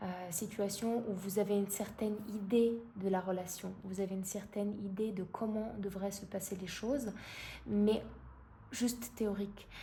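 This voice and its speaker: A dark, mellow, somewhat breathy voice speaks in a flat monotone, with audible room echo. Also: woman, medium pitch for a woman. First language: not French (speaking French). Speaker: tarot card reader. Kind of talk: tarot reading. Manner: halting, many fillers.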